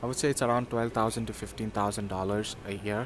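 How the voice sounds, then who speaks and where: A man speaks with a Sindhi accent. His pitch is fairly low. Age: 20s. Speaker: university student. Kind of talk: interview. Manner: hesitant, many fillers.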